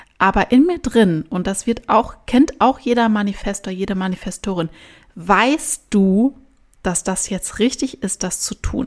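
Her voice unremarkable, a woman speaks at a medium pitch and a fairly slow pace with lively intonation. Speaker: podcast host. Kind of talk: solo podcast monologue.

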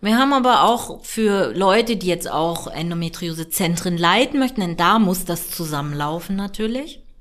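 A woman's unremarkable speaking voice at a medium pitch, with lively intonation, a moderate pace and hardly any pauses. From northern Germany, near Hamburg. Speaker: gynecologist. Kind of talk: interview.

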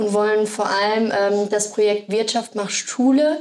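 In an ordinary speaking voice, a woman talks fairly slowly with a fairly high pitch and fairly even intonation. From Sauerland, Germany. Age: 20s. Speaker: project assistant. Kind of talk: casual interview.

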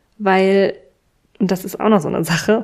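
A woman is speaking at a medium pitch. Her tone is dark and mellow. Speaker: podcast host and business coach. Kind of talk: solo podcast monologue. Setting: sitting at home with candles and tea. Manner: unscripted, conversational.

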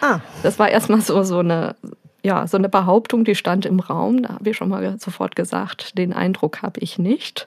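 A woman in an unremarkable speaking voice talks at a moderate pace and medium pitch with ordinary pitch variation, in a dry, close sound with no echo. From Germany, Möhnesee area (Westphalia). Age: 30s. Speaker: young mother, visitor of a parent café. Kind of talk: casual interview.

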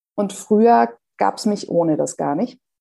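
This woman has a dark, mellow tone and ordinary pitch variation. She speaks at a fairly slow pace. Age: 40s. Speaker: breast cancer survivor, office assistant. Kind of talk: interview. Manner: hesitant.

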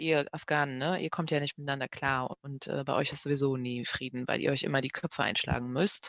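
Delivered at a fairly quick pace with hardly any pauses and fairly even intonation, the speech has a dry, close sound with no echo. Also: woman, very deep, low pitch for a woman. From Germany, grew up after fleeing Kabul at four. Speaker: journalist, head of a broadcaster's language desk. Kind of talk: casual chat.

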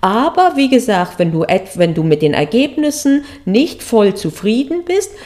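There is noticeable background noise. Over it, a woman speaks at a very slow pace. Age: 40s. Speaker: podcast host and exam coach, former law professor. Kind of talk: solo podcast monologue. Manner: casual with frequent hesitations.

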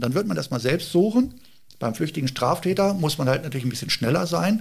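A somewhat breathy voice with ordinary pitch variation on a very clean recording with a silent background. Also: man. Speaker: police helicopter pilot. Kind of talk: interview. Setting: on location at police helicopter base.

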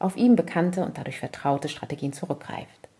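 A woman with a medium pitch and a dark, mellow tone talks at a fairly quick pace, sounding somewhat breathy. The recording is very clean, with a silent background. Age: 40s. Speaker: parenting podcaster. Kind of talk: personal monologue.

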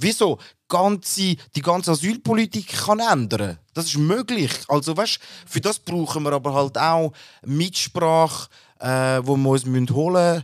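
At a fairly slow pace, a man talks in a plain, everyday voice, fairly high in pitch, with lively intonation. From Switzerland, born in Turkey. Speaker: podcast co-host. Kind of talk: casual discussion.

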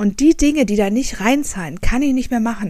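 At a fairly quick pace, a woman speaks with a fairly high pitch, ordinary pitch variation and a dark, mellow, somewhat breathy tone. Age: 30s. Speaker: podcast host, journalist and author. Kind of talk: solo podcast monologue.

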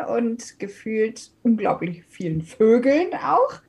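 A woman's lively intonation unfolds at a very slow pace. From Hesse, Germany (Wiesbaden/Taunusstein area). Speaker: DJ. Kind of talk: casual interview. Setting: home office.

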